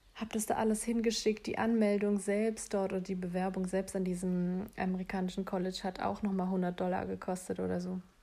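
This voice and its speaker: A woman speaks fairly quickly with hardly any pauses, in a medium pitch with a dark, mellow tone. Her intonation is monotone and flat. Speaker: solo podcaster. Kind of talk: casual monologue.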